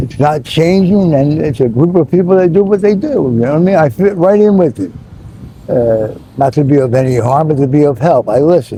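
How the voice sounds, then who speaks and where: A man with an American accent speaks in a fairly high pitch and a lively intonation over noticeable background noise. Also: fairly quick pace. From Philadelphia, US. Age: 60s. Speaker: Navy veteran living on the street. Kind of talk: street interview. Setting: outdoors. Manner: halting, full of fillers.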